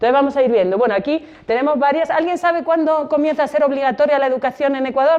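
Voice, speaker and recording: A woman's high voice in a Spanish accent, very fast with hardly any pauses, very even in loudness, with ordinary pitch variation and noticeable background noise. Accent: Spanish (Spain). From Spain. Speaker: exhibition guide. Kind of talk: guided exhibition talk to students. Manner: conversational, many rhetorical questions.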